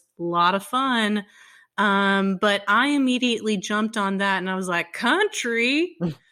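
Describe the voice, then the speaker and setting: In a very clean recording with a silent background, a woman with a bright, sharp tone speaks at a fairly slow pace, her medium pitch showing ordinary variation. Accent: American. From Texas. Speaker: podcast co-host. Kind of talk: casual chat.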